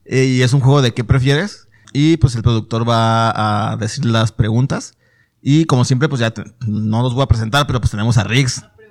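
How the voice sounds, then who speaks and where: At a moderate pace, a man with a medium pitch speaks with fairly even intonation. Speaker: podcast host. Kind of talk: casual chat. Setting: studio.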